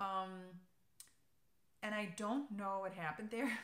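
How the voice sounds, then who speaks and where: The speaker has a German accent. Room echo is audible. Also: woman. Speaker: knitting podcaster. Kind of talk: casual chat. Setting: alone in an empty room. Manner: hesitant, many fillers.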